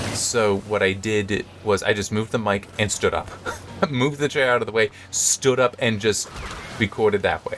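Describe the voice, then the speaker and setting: A man keeps his intonation fairly even while noticeable background noise plays behind him. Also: medium pitch for a man, moderate pace. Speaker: gaming video creator. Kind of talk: let's play commentary. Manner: halting, many fillers and repeats.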